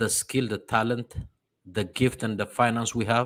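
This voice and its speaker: This man has an Ethiopian accent and a medium pitch, speaking at a fairly slow pace. The recording is very clean, with a silent background. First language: Amharic. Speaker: diaspora religious program host. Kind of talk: sermon-like address. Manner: halting.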